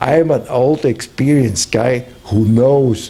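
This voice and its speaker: Delivered in a German accent, the speech is very slow, with fairly even intonation. Noticeable background noise is present. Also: man. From Germany. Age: 70s. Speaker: visiting professor and consultant. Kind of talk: interview. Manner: halting.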